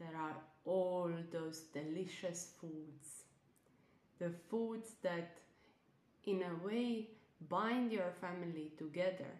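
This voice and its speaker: A woman's soothing, fairly low voice at a very slow pace, with ordinary pitch variation and long, frequent pauses. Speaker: nutritionist and self-love coach. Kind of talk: guided meditation; casual podcast intro and outro. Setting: online live event recording. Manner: soft, slow, soothing.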